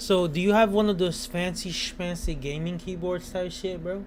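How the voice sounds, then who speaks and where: A man with a non-native accent speaks at a high pitch and a fairly slow pace in an animated tone. Room echo is audible. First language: not English. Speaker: gaming streamer. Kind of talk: casual chat. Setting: home.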